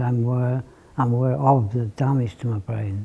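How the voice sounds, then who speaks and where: Somewhat breathy and dark, mellow in tone, this man speaks at a moderate pace and medium pitch with fairly even intonation. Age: 60s. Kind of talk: testimony. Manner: halting.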